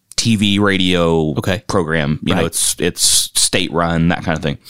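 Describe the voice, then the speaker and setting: A man with an American accent speaks with ordinary pitch variation in a dry, close sound with no echo. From Kentucky. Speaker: minister. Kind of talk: casual chat.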